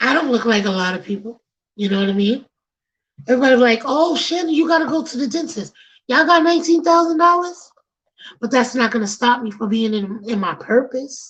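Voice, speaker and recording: In a Bronx accent, a woman talks loud and fairly quick, with an animated tone, lively intonation and a high pitch. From New York City, the Bronx. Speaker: podcast host. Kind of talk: casual chat.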